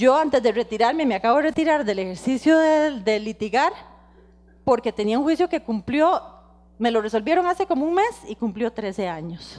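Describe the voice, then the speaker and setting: A woman's high-pitched voice with very wide pitch swings, at a moderate pace. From Costa Rica. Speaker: lawyer, guest lecturer. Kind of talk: lecture. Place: hall. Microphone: handheld.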